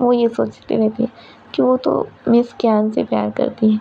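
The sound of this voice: The clip has an unforced reading voice. It is used throughout.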